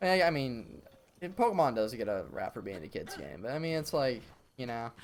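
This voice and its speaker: A man at medium pitch talks with very wide pitch swings. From US South, Virginia. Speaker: video game streamer. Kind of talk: live gameplay stream chat. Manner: fast; casual, many fillers and restarts.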